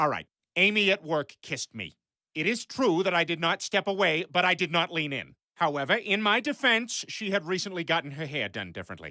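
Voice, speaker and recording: In a cartoonish character voice at a middle pitch, the speaker moves at a fairly quick pace against a quiet background. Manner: blustering, goofy.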